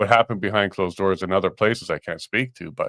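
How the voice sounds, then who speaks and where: With a Canadian accent, a man speaks in a plain, everyday voice with ordinary pitch variation in a very clean recording with a silent background. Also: dry, close sound with no echo. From Canada (Winnipeg, Saskatoon). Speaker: talk show co-host. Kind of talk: casual chat.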